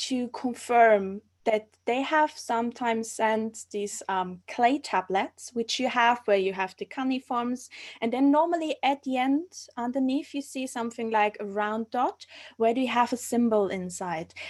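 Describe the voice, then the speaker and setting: At a fairly slow pace, a woman talks with a German accent. Her pitch is high, with ordinary variation. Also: very clean recording, silent background. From Austria. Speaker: archaeology master's student. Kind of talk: live stream interview. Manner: halting, searching for words.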